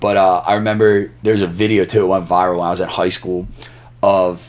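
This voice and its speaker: Here a man with a very deep, low pitch talks at a moderate pace. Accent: Philadelphia. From Delaware County, Pennsylvania (Philadelphia area). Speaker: stand-up comedian. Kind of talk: casual chat. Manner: animated.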